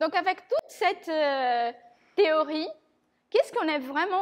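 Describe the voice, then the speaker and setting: A woman with a non-native accent speaks in a high voice with lively intonation. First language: not French (speaking French). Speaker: conference speaker on design systems. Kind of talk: tech talk presentation. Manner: halting, many fillers.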